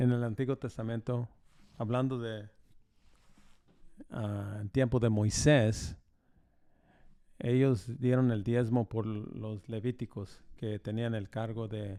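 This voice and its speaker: Slow and full of long, frequent pauses, a man of medium pitch speaks in a dark, mellow tone with fairly even intonation. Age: 60s. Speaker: pastor. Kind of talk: interview. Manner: halting.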